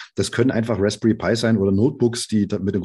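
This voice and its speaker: Against a quiet background, a man with a fairly low pitch and ordinary pitch variation speaks very fast in a dark, mellow, somewhat breathy tone. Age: 40s. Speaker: software developer and startup founder. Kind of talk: interview.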